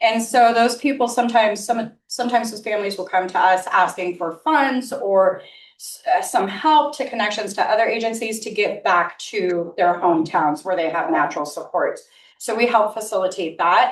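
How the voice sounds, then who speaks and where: At a moderate pace, a woman with a fairly high pitch uses lively intonation and big swings in loudness. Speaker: nonprofit executive director. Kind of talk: informal presentation.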